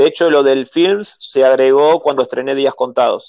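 A man with a Rioplatense accent at medium pitch and moderate pace, with a dry, close sound and no echo. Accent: Argentine Rioplatense Spanish. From Argentina. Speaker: film director. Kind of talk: interview. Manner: halting, frequent repetitions and fillers.

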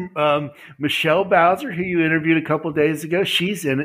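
Speaking at a fairly quick pace, a man with a fairly high pitch talks with an Appalachian accent. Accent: Appalachian American. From US, West Virginia. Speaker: publisher and author. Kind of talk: interview.

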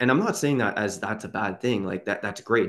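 An ordinary speaking voice: a man with a Canadian accent, medium pitch, lively intonation and a quiet background. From Canada, Ottawa region (Quebec side). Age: 20s. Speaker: YouTuber and real estate investor. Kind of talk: casual interview. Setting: call.

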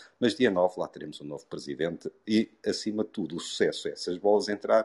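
A man talks at a very fast pace. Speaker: participant in a live audio discussion room. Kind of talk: casual discussion.

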